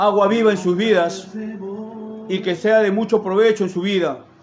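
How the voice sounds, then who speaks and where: Music plays in the background as a man talks fairly slowly at a high pitch. His pitch variation is ordinary, and room echo is audible. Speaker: lay preacher. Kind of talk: sermon. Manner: stuttering; spontaneous, unrehearsed.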